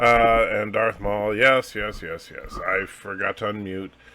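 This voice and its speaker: A very slow pace over noticeable background noise. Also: man. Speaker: livestream host. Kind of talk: casual chat. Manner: halting.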